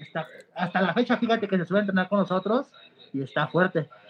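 Talking at a fairly quick pace with a Mexican accent, a man uses a high pitch and ordinary pitch variation. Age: 20s. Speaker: professional wrestler. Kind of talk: interview.

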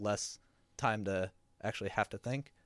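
This man has an unremarkable speaking voice, fairly low in pitch, and he talks at a moderate pace. The recording is very clean and dry, close-sounding with no echo and a silent background. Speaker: podcast host and audio editor. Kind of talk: casual chat. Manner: filler-heavy, laid-back.

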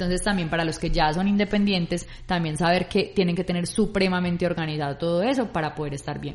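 A woman's fairly low voice, very fast in pace, with fairly even intonation. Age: 30s. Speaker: podcast co-host. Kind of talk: casual chat.

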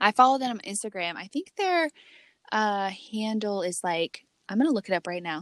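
A woman speaks in a plain, everyday voice at a medium pitch and moderate pace, with lively intonation. The sound is dry and close, with no echo. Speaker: podcast co-host. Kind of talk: casual chat. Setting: remote recording from a closet.

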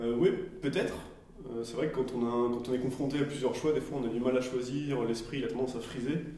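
Against noticeable background noise and audible room echo, a man speaks at a medium pitch. His intonation is fairly even and his pace fairly quick. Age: 30s. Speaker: design and product coach. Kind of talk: casual discussion. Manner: halting.

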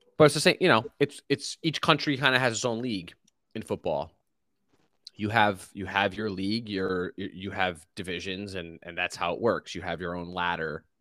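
A man with a plain, everyday voice speaks at a fairly low pitch, his loudness swinging widely. The sound is dry and close, with no echo. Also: moderate pace. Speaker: motorsport commentator guest. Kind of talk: casual chat.

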